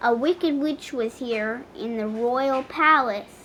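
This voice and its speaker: A woman's high-pitched put-on character voice at a fairly slow pace, over clear background noise. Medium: read story. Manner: rambling.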